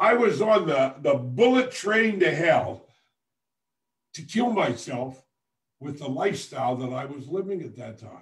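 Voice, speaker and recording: Fairly slow and somewhat breathy, a man speaks at a fairly high pitch with very wide pitch swings and long, frequent pauses. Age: 70s. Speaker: motivational speaker and radio host. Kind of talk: motivational livestream talk. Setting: Facebook live stream. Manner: halting, repeats words.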